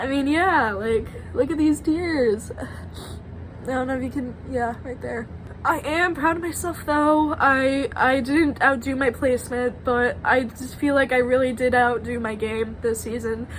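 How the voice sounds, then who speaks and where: A woman with a high voice and ordinary pitch variation talks while noticeable background noise plays behind her. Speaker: evicted contestant in online reality game. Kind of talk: emotional exit speech. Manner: halting.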